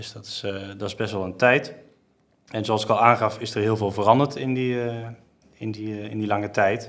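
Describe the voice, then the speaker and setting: With big swings in loudness, a man talks at a moderate pace in a monotone, flat intonation, leaving long, frequent pauses. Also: fairly low pitch for a man. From Netherlands, Geldermalsen (Betuwe). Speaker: commercial manager at a car dealership group. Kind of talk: business podcast interview. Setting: studio, sitting at a table.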